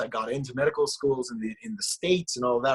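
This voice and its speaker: A man speaks with an Israeli accent at a fairly quick pace. The sound is dry and close, with no echo. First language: Hebrew. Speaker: musician. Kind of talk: casual chat. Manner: halting.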